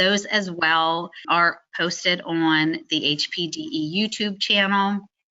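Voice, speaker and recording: This woman has an unremarkable speaking voice. Her pitch sits fairly low. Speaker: motorsport driver education committee chair. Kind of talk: webinar presentation. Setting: online webinar.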